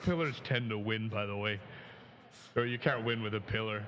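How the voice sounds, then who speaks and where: A man with an American accent at a moderate pace, plus audible room echo and noticeable background noise. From Minnesota Iron Range. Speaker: musician. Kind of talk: casual interview chat.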